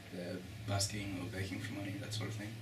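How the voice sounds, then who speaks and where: A man with an Australian accent at a very fast pace, amid noticeable background noise and audible room echo. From Australia, Melbourne. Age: 20s. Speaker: student. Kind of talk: interview answers.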